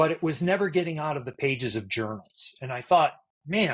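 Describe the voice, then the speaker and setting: The man's somewhat breathy voice sits at a fairly high pitch, moving at a fairly quick pace with lively intonation. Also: quiet background. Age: 60s. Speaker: cognitive neuroscientist and endurance athlete. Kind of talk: podcast interview. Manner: halting.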